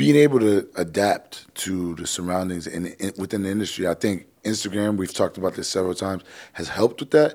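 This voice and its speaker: A man with an American accent speaks at a fairly quick pace in a very deep, low pitch. His pitch varies in an ordinary way, and the recording is very clean with a silent background. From New York, Flushing, Queens. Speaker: barber and shop owner, podcast co-host. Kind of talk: casual interview chat.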